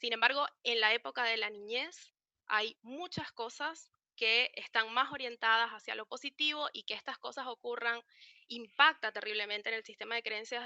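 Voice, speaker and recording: A woman talks fairly quickly in a fairly high, bright, sharp voice with ordinary pitch variation. The sound is dry and close, with no echo. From Venezuela. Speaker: psychologist. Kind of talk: online talk. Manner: fast.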